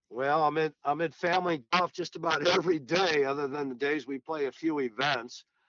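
A man with an American accent talks at a fairly quick pace with hardly any pauses, his pitch fairly high and his intonation fairly even, in an unremarkable speaking voice. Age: 60s. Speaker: golf professional and teacher. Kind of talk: casual interview.

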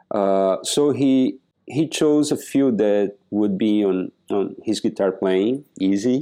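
Speaking at a very slow pace, a man with a fairly low pitch and a dark, mellow tone keeps his loudness very even while his pitch varies in an ordinary way. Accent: Portuguese. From southern Brazil. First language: Portuguese. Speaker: percussionist. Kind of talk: interview. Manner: halting.

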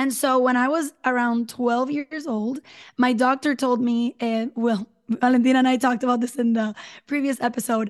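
With a Spanish accent, a woman speaks at a moderate pace in a high, monotone, flat voice against a quiet background. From Puerto Rico. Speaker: podcaster. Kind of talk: interview.

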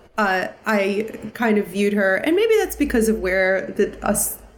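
There is audible room echo as a woman with an American accent speaks at a medium pitch. Her voice has vocal fry and her pace is fairly slow. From US Northeast (New York/New Jersey area). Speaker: musical theatre performer. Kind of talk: casual interview.

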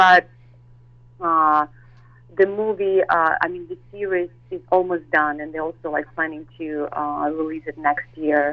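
A woman with a very deep, low pitch speaks fairly slowly, her intonation fairly even and her loudness swinging widely. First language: Russian. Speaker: model and actress. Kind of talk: interview. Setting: phone call.

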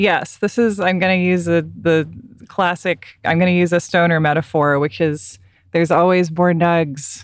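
With an unremarkable speaking voice, a woman speaks at a moderate pace with a fairly low pitch, fairly even intonation and very even loudness. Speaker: podcast host and writer. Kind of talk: casual chat. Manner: calm.

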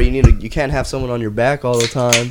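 The words rush out at a very fast pace. Noticeable background noise is present throughout. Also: man. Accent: American. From El Paso, Texas. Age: 20s. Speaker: podcast guest. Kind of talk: casual chat.

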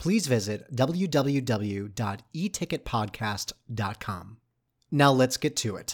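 This man's intonation is lively, captured on a very clean recording with a silent background. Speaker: podcast host. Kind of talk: casual interview. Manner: animated, enthusiastic.

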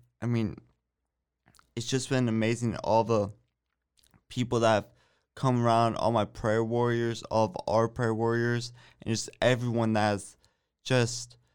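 A man speaks at a medium pitch and a fairly slow pace with an American accent. His intonation is monotone and flat, on a very clean recording with a silent background. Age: 20s. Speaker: college student, brain injury survivor. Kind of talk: interview.

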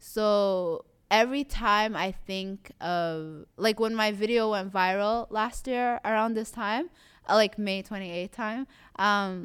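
A woman with an ordinary speaking voice, medium in pitch, at a fairly slow pace with lively intonation, on a very clean recording with a silent background. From Somali community in Toronto, Canada. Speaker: visual artist. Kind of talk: interview.

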